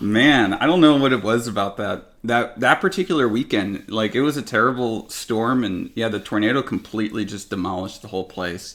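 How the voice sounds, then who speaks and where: Talking at a fairly quick pace with hardly any pauses, a man with a Northern California accent uses a medium pitch and ordinary pitch variation. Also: very clean recording, silent background. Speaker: podcast host and YouTuber. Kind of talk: casual chat. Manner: lackadaisical, sounds like he doesn't care.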